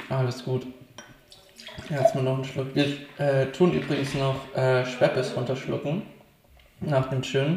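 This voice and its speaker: A man speaks at a fairly slow pace and a medium pitch, his flat, monotone delivery broken by long, frequent pauses over noticeable background noise. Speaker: podcast co-host. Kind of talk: casual chat. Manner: hesitant, lots of fillers.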